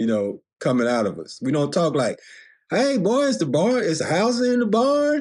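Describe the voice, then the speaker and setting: A man talks with an American accent. His pitch swings very widely. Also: quiet background. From US South. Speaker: film reviewer. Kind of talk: casual monologue. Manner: animated.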